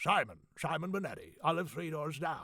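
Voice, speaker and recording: Using a put-on character voice, a man speaks with a high pitch, fairly even intonation and a moderate pace. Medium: read story.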